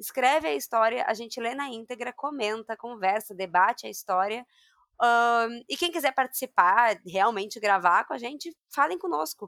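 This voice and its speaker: With a bright, sharp tone and lively intonation, a woman speaks at a fairly high pitch. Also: moderate pace. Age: 30s. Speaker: podcast host, nutritionist. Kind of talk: casual chat.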